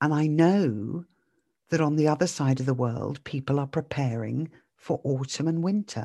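In a British accent, the speaker keeps a very even loudness at a moderate pace with ordinary pitch variation, the tone warm, dark and mellow against a quiet background. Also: woman, very deep, low pitch for a woman. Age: 50s. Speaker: mindset podcaster. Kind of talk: solo podcast monologue. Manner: warm, reflective.

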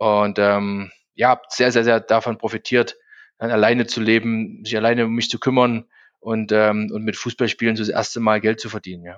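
A man's medium-pitched voice, flat and monotone, at a moderate pace with big swings in loudness, dry and close with no echo over a quiet background. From Saxony, Germany (Zwickau). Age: 40s. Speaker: recruitment company executive, former footballer. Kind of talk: interview. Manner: frequent fillers, hesitant.

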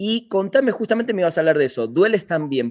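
His pitch swinging very widely, a man talks with a Rioplatense accent. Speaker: podcast host. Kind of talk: interview. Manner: voseo, casual.

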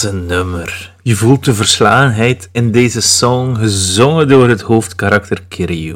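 In a Flemish accent, a man speaks at a very slow pace with hardly any pauses, his fairly low pitch showing ordinary variation. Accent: Flemish Dutch. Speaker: podcast host. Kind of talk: solo music show talk. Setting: alone at home bar.

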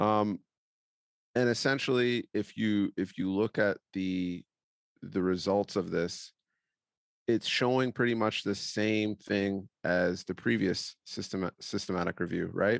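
Against a quiet background, a man in an ordinary speaking voice talks at a fairly low pitch, at a fairly slow pace with fairly even intonation. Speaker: podcast host, performance coach. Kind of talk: casual conversational discussion. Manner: filler-heavy, casual.

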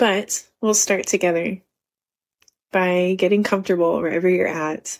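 A woman with an unremarkable speaking voice talks at a medium pitch, with very even loudness and fairly even intonation. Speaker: podcast host and running coach. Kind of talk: guided meditation. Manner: slow, soft, calm and soothing, with long pauses.

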